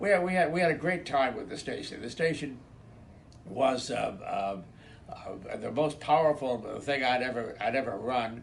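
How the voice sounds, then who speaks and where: Lively intonation runs through this man's medium-pitched voice at a moderate pace. Audible room echo is present. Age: 90s. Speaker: retired radio station manager. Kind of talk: reminiscing recorded message. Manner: halting, many repetitions and fillers.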